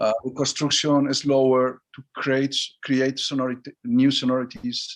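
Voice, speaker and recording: The speaker's pace is moderate, and the voice carries a Spanish accent. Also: man. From Basque Country, Spain. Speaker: orchestra conductor. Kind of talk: interview answer over video call. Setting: video call. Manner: soft-spoken, open, warm.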